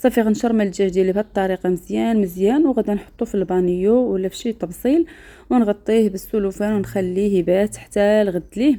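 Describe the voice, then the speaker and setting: A woman with a Moroccan accent, medium pitch, a dark, mellow tone, ordinary pitch variation, a fairly quick pace and hardly any pauses. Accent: Moroccan Arabic (Darija). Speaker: cooking channel host. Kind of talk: cooking tutorial.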